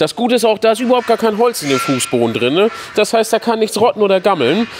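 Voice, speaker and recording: Amid noticeable background noise, a man talks at a very fast pace in a high voice, his pitch swinging very widely while his loudness stays very even. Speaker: sales director. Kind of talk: guided factory tour chat. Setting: workshop hall. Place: factory. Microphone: phone near.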